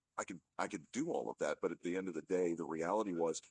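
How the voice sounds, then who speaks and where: A man with a very deep, low voice talks fairly quickly in a dry, close recording with no echo. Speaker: marketing consultant, former radio ad salesman. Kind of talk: casual video talk to audience. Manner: conversational, many fillers.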